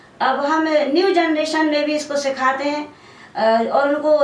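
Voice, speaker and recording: A woman talks with audible echo from the room and noticeable noise behind her. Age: 60s. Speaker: folk dancer and teacher. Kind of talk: interview.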